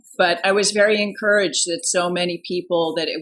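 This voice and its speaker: On a very clean recording with a silent background, a woman with an American accent and a plain, everyday voice speaks at a fairly quick pace with fairly low pitch and ordinary pitch variation. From US East Coast, Washington DC area. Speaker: artist and activist. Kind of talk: casual interview conversation.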